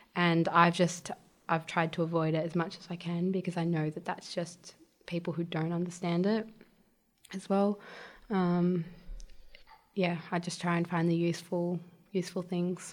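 With an Australian accent, a woman speaks in a fairly low, monotone, flat voice at a moderate pace, leaving long, frequent pauses. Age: 20s. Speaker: childcare worker, former mechanic. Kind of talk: interview about mental health. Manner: soft-spoken; calm.

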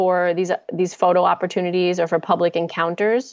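A woman is talking. She has a slight New Jersey accent. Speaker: primate sanctuary program director. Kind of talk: casual interview chat. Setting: remote link.

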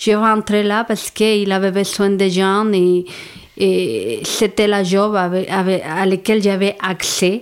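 A woman with a Mexican accent speaks very slowly at a medium pitch. Her intonation is monotone and flat, and her loudness stays very even. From Mexico. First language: Spanish (speaking French). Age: 40s. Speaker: psychosocial worker. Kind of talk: interview. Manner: halting.

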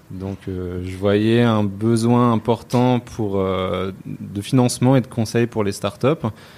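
In a very clean recording with a silent background, a man with a fairly low pitch and a dark, mellow tone speaks at a very slow pace. He hardly pauses, and his intonation stays fairly even. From France. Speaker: entrepreneur. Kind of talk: interview. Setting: office. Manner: hesitant, many fillers.

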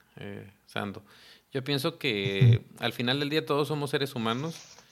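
With an ordinary speaking voice, a man at medium pitch talks at a fairly slow pace with lively intonation. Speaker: podcast host and photographer. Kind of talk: interview.

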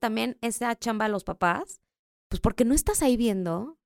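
Sound is dry and close, with no echo. A woman speaks at a moderate pace in an ordinary speaking voice. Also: very clean recording, silent background. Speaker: podcast co-host. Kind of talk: casual chat.

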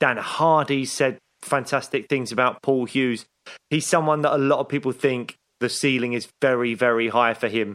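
Medium in pitch, a man's voice moves along at a moderate speed. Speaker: podcast host. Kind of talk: casual interview. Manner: excitable.

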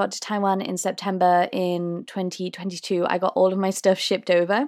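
In a British accent, the speaker keeps a moderate pace with hardly any pauses and fairly even intonation, on a very clean recording with a silent background. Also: woman. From UK. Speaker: podcast host and tour guide. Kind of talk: casual solo Q&A monologue. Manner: filler-heavy, conversational.

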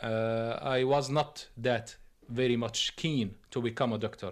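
A man in an Arabic accent, medium pitch and fairly even intonation. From Syria. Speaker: Syrian immigrant doctor. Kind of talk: documentary interview testimony. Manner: halting, many hesitations.

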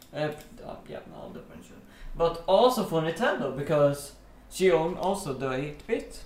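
Through noticeable background noise, a man with a fairly high pitch talks at a fairly slow pace with long, frequent pauses, lively intonation and big swings in loudness. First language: Swedish. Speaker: podcast co-host. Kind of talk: casual chat.

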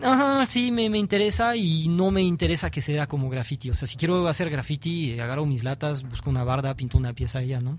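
With a French accent, a man talks at a moderate pace using lively intonation. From France. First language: French (speaking Spanish). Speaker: graffiti artist. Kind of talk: interview. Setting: radio studio. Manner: halting.

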